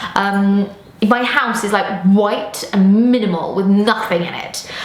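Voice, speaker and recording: Amid noticeable background noise and audible room echo, a woman with an English accent speaks at a fairly slow pace and medium pitch, her intonation fairly even. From England. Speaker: football presenter. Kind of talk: casual Q&A. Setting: outdoors on a rooftop.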